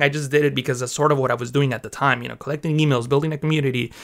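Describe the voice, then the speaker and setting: Speaking in a Mexican accent, a man with a fairly high pitch and bright, sharp tone shows ordinary pitch variation. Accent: Mexican-accented English, California. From Mexico. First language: Spanish. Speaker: graphic artist and Photoshop teacher. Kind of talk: casual interview chat.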